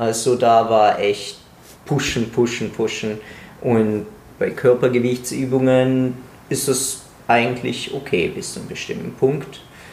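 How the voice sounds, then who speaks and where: Very slow delivery in a room with audible echo, ordinary pitch variation, and long, frequent pauses. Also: man, medium pitch for a man. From Italy. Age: 20s. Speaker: pharmacy student and calisthenics coach. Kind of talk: casual chat.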